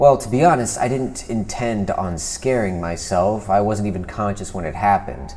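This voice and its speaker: A man at a fairly low pitch and a moderate pace. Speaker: video creator. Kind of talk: storytelling vlog narration. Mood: spooky, measured storytelling. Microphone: lapel.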